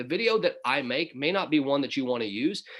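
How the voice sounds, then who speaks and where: A man with a Southern US accent, fairly high-pitched, at a fairly quick pace and with lively intonation. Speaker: business opportunity presenter. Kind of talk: webinar presentation. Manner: casual, conversational.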